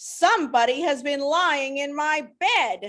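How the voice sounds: A woman puts on a gruff, high-pitched character voice, speaking at a fairly slow pace.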